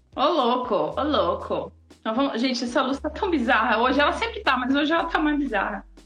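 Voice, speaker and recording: The woman's high voice has lively intonation and very even loudness at a fairly quick pace. Noticeable background noise runs behind her. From Blumenau, Santa Catarina, Brazil. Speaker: artist and live show co-host. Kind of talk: casual live-stream chat. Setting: live video stream.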